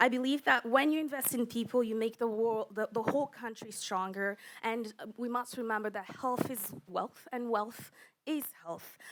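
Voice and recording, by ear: At a moderate pace with few pauses, a woman speaks at a fairly high pitch, her fairly bright tone holding fairly even intonation.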